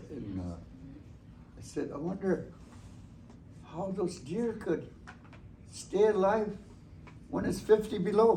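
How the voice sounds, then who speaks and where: A high-pitched man speaks very slowly, with long, frequent pauses and big swings in loudness. His pitch varies in an ordinary way, and room echo is audible. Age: 70s. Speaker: elder storyteller. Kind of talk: storytelling talk to students.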